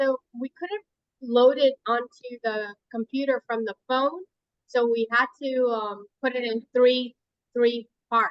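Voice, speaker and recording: A woman speaks very slowly in a high voice with fairly even intonation. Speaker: home cook presenting a recipe demo. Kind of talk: casual chat.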